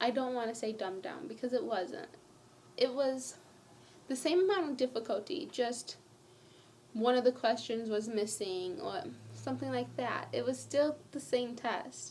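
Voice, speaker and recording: A woman talks at a moderate pace, leaving long, frequent pauses. Noticeable background noise sits behind her. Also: fairly high pitch for a woman, lively intonation. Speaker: vlogger. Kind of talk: personal vlog. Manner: rambling, jumping between topics.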